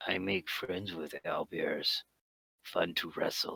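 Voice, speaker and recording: Using a put-on character voice, a man speaks fairly slowly at a very deep, low pitch, raspy and dry with a close sound and no echo. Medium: actual play. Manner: terse, broken grammar.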